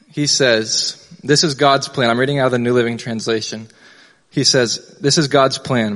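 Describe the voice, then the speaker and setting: A man's medium-pitched voice with fairly even intonation and very even loudness. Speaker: youth pastor. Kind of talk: sermon. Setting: church. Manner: fast talker.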